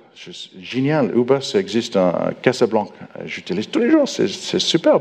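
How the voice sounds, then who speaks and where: Amid noticeable background noise, a man speaks with big swings in loudness. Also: moderate pace. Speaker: software architect, conference speaker. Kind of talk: conference talk. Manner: halting, many hesitations.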